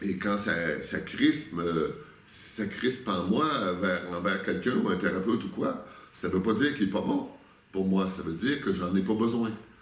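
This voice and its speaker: The speech moves at a fairly slow pace. Pitch variation is ordinary. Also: man, fairly low pitch for a man. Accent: Quebec. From Quebec. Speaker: spiritual workshop leader. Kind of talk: interview answer.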